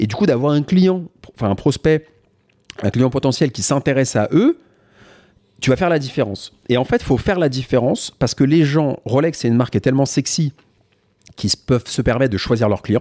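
A man of medium pitch talks at a fairly quick pace with lively intonation and long, frequent pauses, in a dry, close sound with no echo. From Paris and Val-d'Oise, France. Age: 30s. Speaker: entrepreneur and watch content creator. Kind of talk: casual interview chat.

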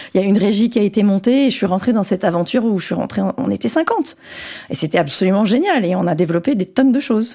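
Speaking at a very fast pace, a woman uses a medium pitch and lively intonation. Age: 40s. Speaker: tech company executive. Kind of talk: interview. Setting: office.

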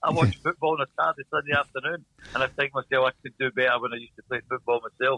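A man talks at a very fast pace. He has a strong Glasgow accent. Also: medium pitch for a man, ordinary pitch variation. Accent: strong Glasgow Scottish. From Scotland, Glasgow. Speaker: speedway team manager. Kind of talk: interview. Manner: tends to talk fast when excited.

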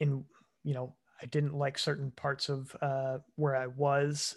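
In a very clean recording with a silent background, a man with a fairly high pitch talks at a fairly slow pace in a monotone, flat intonation. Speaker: podcast co-host. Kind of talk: casual chat.

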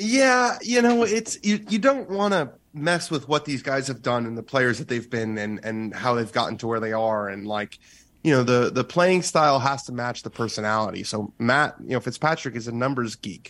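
A man talks at a moderate pace and medium pitch in an ordinary speaking voice. His intonation is lively. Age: 20s. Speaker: golf writer. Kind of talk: interview.

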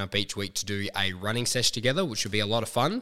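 The voice has a bright, sharp tone and an Australian accent. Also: man. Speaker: podcast host and fitness trainer. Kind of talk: podcast intro and promo; casual interview.

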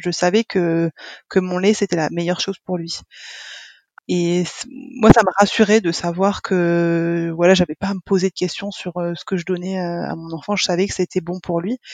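Her fairly low voice holds a monotone, flat intonation at a moderate pace. The woman's sound is dry and close, with no echo. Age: 30s. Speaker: mother sharing breastfeeding experience. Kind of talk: interview testimony. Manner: halting, many hesitations and repetitions.

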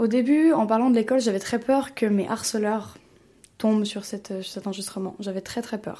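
At a moderate pace, a woman talks with ordinary pitch variation. Her tone is dark and mellow. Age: young. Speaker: former bullying victim. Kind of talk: testimony.

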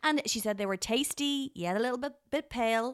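At a fairly quick pace, a woman with an Irish accent speaks with lively intonation in a very clean recording with a silent background and a dry, close sound with no echo. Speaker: podcast co-host, food reviewer. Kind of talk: casual chat. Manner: animated.

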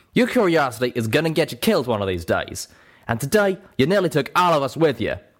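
A man's put-on character voice, growling, raised and projected, fairly high in pitch, at a very fast pace. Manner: angry, growling scolding.

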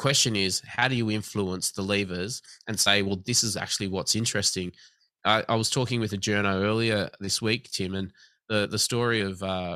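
Fairly quick, fairly even speech from a man with an Australian accent, a fairly low pitch and a bright, sharp tone, over a quiet background. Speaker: government commissioner for night-time economy. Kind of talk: interview.

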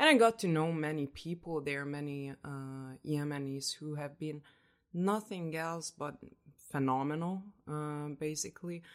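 A woman speaks with a Hungarian accent in a very deep, low voice at a fairly slow pace. Her pitch varies in an ordinary way while her loudness swings widely. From Hungary, Budapest. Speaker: researcher. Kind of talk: interview. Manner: halting.

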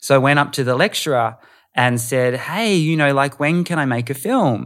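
A man with an Australian accent at a fairly high pitch, moderate pace, on a very clean recording with a silent background. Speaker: producer and voiceover artist. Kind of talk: casual chat.

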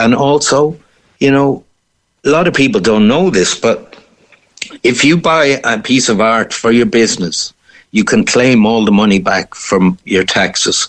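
In a Cork accent, a man talks at a fairly slow pace with a medium pitch, very even loudness and lively intonation. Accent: Cork Irish. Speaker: painter. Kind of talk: interview.

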